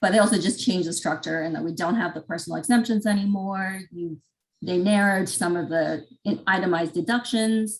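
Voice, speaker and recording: A somewhat breathy woman at medium pitch, fairly quick in pace, with ordinary pitch variation. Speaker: tax presenter. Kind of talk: webinar presentation.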